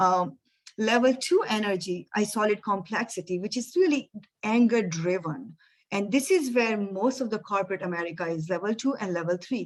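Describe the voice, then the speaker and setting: A woman speaks in a normal speaking voice at medium pitch. Her intonation is lively and her pace moderate. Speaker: energy coach and speaker. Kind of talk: webinar presentation.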